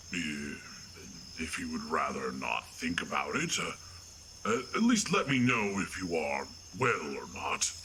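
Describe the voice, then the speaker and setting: A man does a put-on character voice at a fairly slow pace. He leaves long, frequent pauses over clear background noise. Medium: audio drama. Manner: blunt, deadpan, emotionally detached.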